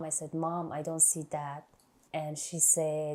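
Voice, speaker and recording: A woman with an Iranian accent speaks very slowly in a very deep, low voice, her tone dark and mellow and her intonation monotone and flat. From Iran, Afghan family. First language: Farsi. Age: 30s. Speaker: nurse. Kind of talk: life story interview.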